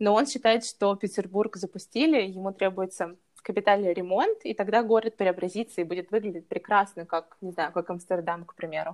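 A woman speaks in an ordinary speaking voice, medium in pitch, at a fairly quick pace. Her loudness swings widely, while her pitch varies in an ordinary way. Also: dry, close sound with no echo. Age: 20s. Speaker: lifestyle blogger. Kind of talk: casual interview chat.

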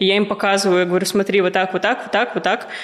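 A woman's medium-pitched, monotone, flat delivery amid noticeable background noise. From Russia, Ufa (Bashkortostan). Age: 20s. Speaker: business mentor. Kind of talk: casual interview chat.

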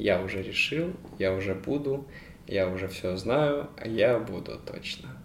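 With lively intonation and a fairly low pitch, a man talks at a fairly slow pace over noticeable background noise. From Ukraine. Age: 20s. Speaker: podcast co-host. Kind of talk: casual chat.

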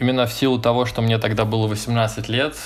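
An ordinary speaking voice proceeds at a moderate pace. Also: man. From Moscow, Russia. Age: 20s. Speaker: emigrant. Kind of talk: casual chat.

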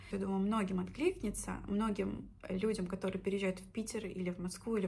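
The woman's intonation stays fairly even as she speaks fairly quickly in a somewhat breathy voice. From Russia, Orenburg region (Orsk). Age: 20s. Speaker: podcaster, former teacher. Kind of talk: personal story monologue.

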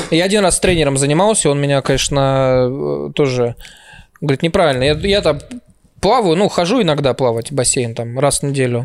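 A man's fairly high voice at a fairly quick pace, with very even loudness and ordinary pitch variation. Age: 30s. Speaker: comedian. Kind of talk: casual chat.

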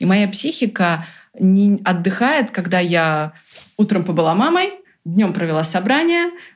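Her voice is somewhat breathy, as a woman speaks at a medium pitch with ordinary pitch variation. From Brazil. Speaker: entrepreneur. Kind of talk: interview. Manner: animated.

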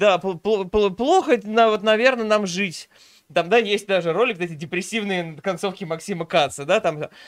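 Using ordinary pitch variation, a man with a high pitch talks at a fairly slow pace. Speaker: streamer co-host. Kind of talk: casual reaction stream commentary.

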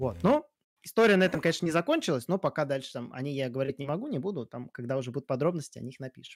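Very fast, lively speech from a man at a fairly high pitch, dry and close with no echo on a very clean recording with a silent background. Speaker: podcast host. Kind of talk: casual chat, news discussion. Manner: casual, profane.

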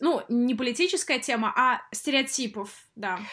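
A woman with a high pitch and ordinary pitch variation talks at a moderate pace. The recording is very clean, with a silent background. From Russia. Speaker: podcast co-host, Russian expat. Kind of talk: casual chat.

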